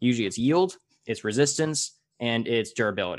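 A man with an American accent has a normal speaking voice at a medium pitch. He talks at a moderate pace against a quiet background. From US. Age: 20s. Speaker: podcast host. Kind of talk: casual interview.

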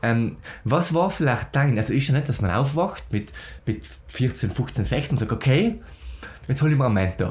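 His pitch sits at a medium level for a man but swings very widely. He speaks at a moderate pace with vocal fry. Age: young. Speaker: podcast host, agency founder. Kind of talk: podcast interview.

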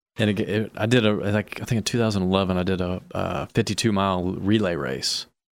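On a very clean recording with a silent background, a man with an ordinary speaking voice, fairly low in pitch, talks at a fairly quick pace with ordinary pitch variation and hardly any pauses. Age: 40s. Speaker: real estate investor. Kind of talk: casual chat.

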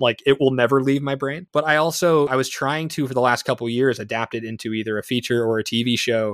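A man with an American accent has a plain, everyday voice at medium pitch, with ordinary pitch variation, a fairly quick pace and hardly any pauses. The recording is very clean with a silent background and a dry, close sound with no echo. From New Jersey, East Brunswick. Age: 20s. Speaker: filmmaker. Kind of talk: casual interview chat.

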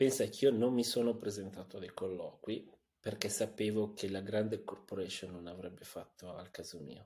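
With a dark, mellow tone and fairly low pitch, a man speaks at a moderate pace with fairly even intonation and big swings in loudness. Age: 40s. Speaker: tech entrepreneur. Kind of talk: interview. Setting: studio.

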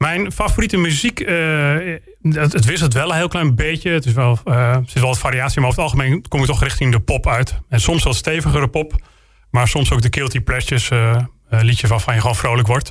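The voice is somewhat breathy and moves at a fairly quick pace. Its loudness stays very even, with ordinary pitch variation. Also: man, medium pitch for a man. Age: 40s. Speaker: local politician and military instructor. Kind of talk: interview.

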